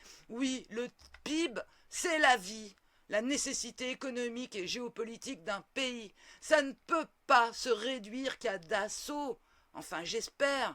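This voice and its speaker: A woman's high, bright and sharp voice, theatrical in tone, at a very slow pace. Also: ordinary pitch variation. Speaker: political commentator. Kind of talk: opinion monologue. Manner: professorial.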